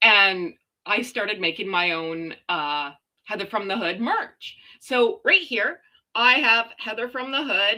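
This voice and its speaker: With a Canadian accent, a woman speaks at a fairly slow pace in a fairly high pitch, her tone bright and sharp and her intonation lively. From Canada. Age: 40s. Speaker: live streamer. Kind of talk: casual chat. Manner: loud.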